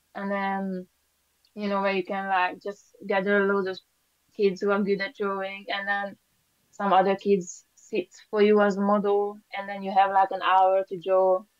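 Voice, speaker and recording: A woman's monotone, flat delivery with a Hungarian accent. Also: medium pitch for a woman, moderate pace. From Hungary. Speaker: painter. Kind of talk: interview. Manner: hesitant, many fillers.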